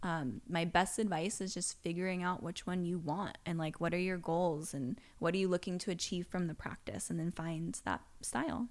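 At a moderate pace and with hardly any pauses, a woman with an American accent speaks in an unremarkable speaking voice, fairly low in pitch, with ordinary pitch variation. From Las Vegas, US. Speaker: yoga teacher and studio owner. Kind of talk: casual chat. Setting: studio.

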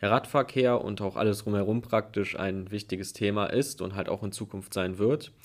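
In a very clean recording with a silent background, a man with a normal speaking voice talks at a fairly quick pace, his fairly low pitch held to fairly even intonation. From Hilden, Rhineland, Germany. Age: 20s. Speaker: student and party youth activist. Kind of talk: panel discussion.

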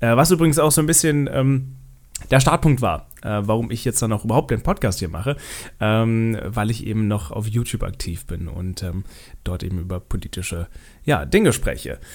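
In a plain, everyday voice, a man speaks at a moderate pace and medium pitch with lively intonation. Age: 20s. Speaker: political podcast host and TV editor. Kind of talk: solo podcast monologue on politics.

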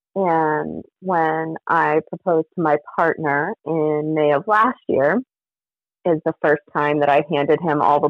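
At a fairly slow pace, a woman with a very deep, low pitch speaks with very even loudness. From New Mexico. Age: 30s. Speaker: mental health counselor and poet. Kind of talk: casual chat.

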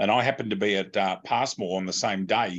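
Against a quiet background, a man speaks in an Australian accent. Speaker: podcast host. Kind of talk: casual chat.

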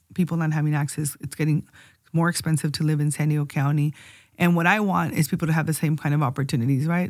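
In a Spanish accent, a woman speaks very fast with a very deep, low pitch and fairly even intonation, on a very clean recording with a silent background. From Tijuana, Mexico. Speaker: county supervisor, politician. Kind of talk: casual interview chat. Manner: code-switches between Spanish and English.

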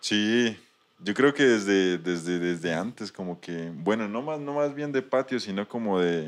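Fairly low in pitch, a man speaks with lively intonation. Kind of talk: casual interview. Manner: halting, repetitive.

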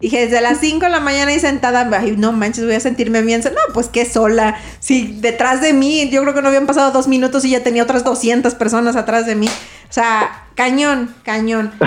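Over music in the background, a woman speaks with high pitch and fairly even intonation. She keeps a moderate pace with hardly any pauses. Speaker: podcast co-host. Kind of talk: casual chat.

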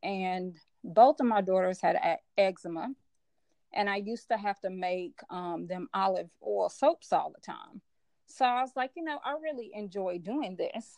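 In a normal speaking voice with an American accent, a woman talks at a medium pitch and a fairly slow pace, her loudness swinging widely, with a dry, close sound and no echo. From US South, Memphis, Tennessee. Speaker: business coach. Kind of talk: casual interview.

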